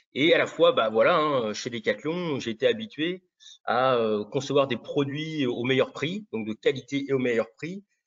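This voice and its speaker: Pitched fairly high, a man speaks in a normal speaking voice. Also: lively intonation, fairly slow pace. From Brittany, southern. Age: 40s. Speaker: real estate agent. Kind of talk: interview.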